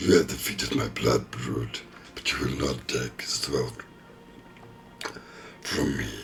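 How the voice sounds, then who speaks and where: Over clear background noise, a man uses a put-on character voice, growling, raspy and strained at a very deep, low pitch. He goes at a fairly slow pace with long, frequent pauses. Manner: menacing, arrogant.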